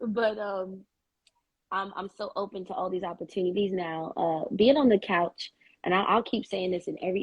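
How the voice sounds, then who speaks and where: An unremarkable speaking voice from a woman, medium in pitch, at a moderate pace with fairly even intonation. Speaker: singer. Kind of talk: casual chat.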